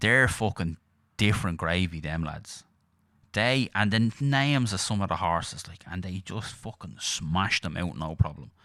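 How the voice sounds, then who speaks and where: Speaking at a fairly slow pace with a Dublin accent, a man's very deep, low voice has a bright, sharp tone and big swings in loudness on a very clean recording with a silent background. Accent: Dublin Irish. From Ireland, Dublin. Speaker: podcast co-host. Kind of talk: casual chat.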